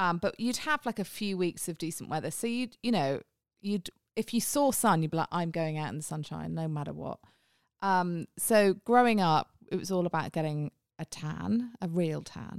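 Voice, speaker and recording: A woman with a British accent speaks at a moderate pace with lively intonation and a fairly low pitch. The recording is very clean with a silent background and a dry, close sound with no echo. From England. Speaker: podcast host, marketing executive. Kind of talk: casual chat. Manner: chatty.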